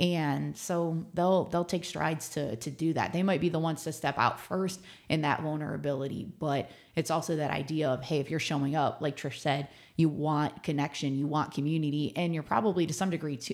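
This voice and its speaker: With an American accent, a woman speaks at a moderate pace in a very deep, low pitch with ordinary pitch variation, on a very clean recording with a silent background. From Ohio, Cleveland suburbs. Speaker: adventure club co-founder. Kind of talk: interview. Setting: studio.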